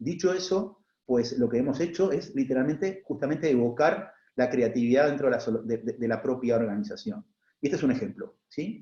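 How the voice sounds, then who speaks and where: A man with an Argentine accent talks at a fairly quick pace. His voice is fairly high with a dark, mellow tone and lively intonation. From Argentina. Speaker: HR executive, panelist. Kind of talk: panel talk. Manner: halting, many fillers and repetitions.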